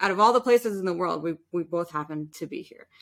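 A woman speaks with an American accent in a plain, everyday voice, pitched in the middle range. Her intonation is lively, and the recording is very clean with a silent background. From New York City. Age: 30s. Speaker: opera and musical theatre singer. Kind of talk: interview.

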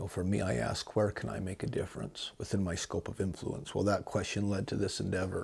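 A man speaks with a very deep, low pitch, vocal fry and ordinary pitch variation. His pace is fairly quick, with hardly any pauses. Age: 40s. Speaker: podcast host. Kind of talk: religious monologue. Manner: hesitant with fillers.

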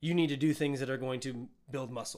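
A man with an unremarkable speaking voice talks at a fairly quick pace and fairly high pitch with ordinary pitch variation. The recording is very clean, with a silent background. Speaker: fitness and nutrition coach. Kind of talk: casual podcast chat. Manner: playful, jokey.

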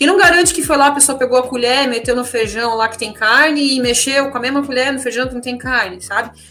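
A woman speaks in a high, raised and projected voice over background music. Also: ordinary pitch variation, hardly any pauses. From Santa Catarina, Brazil (German-heritage town). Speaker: English teacher and vegan activist. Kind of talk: casual radio interview. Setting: radio studio. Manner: halting, many fillers and repetitions.

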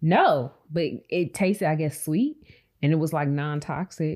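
A woman talks in an ordinary speaking voice, fairly low in pitch with fairly even intonation. The recording is very clean and the background silent. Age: 30s. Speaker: podcast host. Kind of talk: casual chat.

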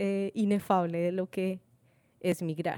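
Very slowly, a woman speaks with a Latin American accent and a dark, mellow tone. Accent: own Latin American accent, proud of it. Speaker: podcast co-host. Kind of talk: casual chat. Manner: halting.

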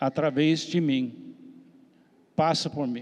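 This man's fairly high pitch carries fairly even intonation. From US, Miami. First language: English (speaking Portuguese). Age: 70s. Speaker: missionary pastor. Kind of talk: panel discussion.

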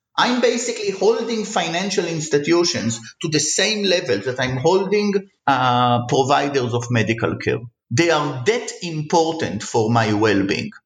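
A man speaks at a fairly high pitch with vocal fry and very wide pitch swings. His pace is moderate, and the room echo is audible. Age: 40s. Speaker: economics professor. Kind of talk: interview.

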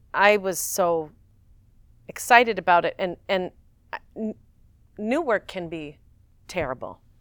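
The pace is fairly slow. The intonation is lively. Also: woman. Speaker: stage actress. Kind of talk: interview conversation.

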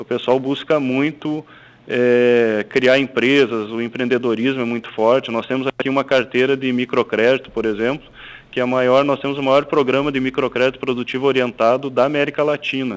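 Over noticeable background noise, a man speaks at a moderate pace and medium pitch with monotone, flat intonation. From Rio Grande do Sul, Brazil (Passo Fundo). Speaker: bank executive. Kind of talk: radio interview.

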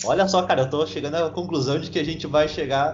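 A man speaks very fast. His pitch is fairly high, with ordinary variation. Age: 20s. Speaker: podcast co-host. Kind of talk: casual chat.

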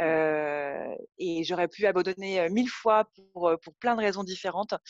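Here a woman speaks in an unremarkable speaking voice at a medium pitch with fairly even intonation. The sound is dry and close with no echo, over a quiet background. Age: 30s. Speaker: yoga teacher and studio owner. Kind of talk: casual interview chat. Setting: phone call.

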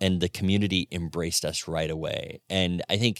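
Someone with an American accent speaks at a moderate pace with fairly even intonation, the sound dry and close with no echo. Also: man. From Florida. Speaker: retail store co-founder. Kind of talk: interview conversation.

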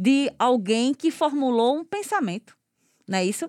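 On a very clean recording with a silent background, a woman with a high pitch speaks at a moderate pace in a dry, close sound with no echo. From Goiana, Pernambuco, Brazil. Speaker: podcast host and cultural producer. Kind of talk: interview.

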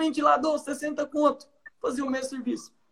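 This man's pitch is extremely high. He talks at a moderate pace. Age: 20s. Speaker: pharmacist. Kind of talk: live stream talk on leadership. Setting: video call live stream.

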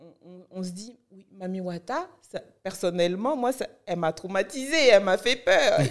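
A woman's normal speaking voice at medium pitch, fairly slow, with lively intonation and big swings in loudness. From Benin (Cotonou, north Benin). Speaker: blogger and content creator. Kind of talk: interview.

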